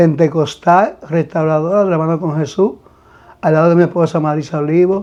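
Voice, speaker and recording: At a moderate pace, a man speaks in a fairly high pitch with a dark, mellow tone and monotone, flat intonation. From Dominican Republic, Santiago/Navarrete. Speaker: pastor. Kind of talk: testimony interview. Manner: halting, repeats words.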